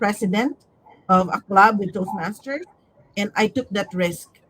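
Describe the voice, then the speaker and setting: A woman's somewhat breathy, medium-pitched voice, animated in tone, with ordinary pitch variation at a moderate pace. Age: 60s. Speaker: Toastmasters club leader sharing her story. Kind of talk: podcast interview. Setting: sunny spot, sun in her eyes. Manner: halting.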